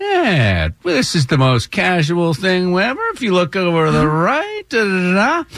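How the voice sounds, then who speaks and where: A man speaks in a high-pitched, put-on character voice. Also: moderate pace. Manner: relaxed, casual, laid-back.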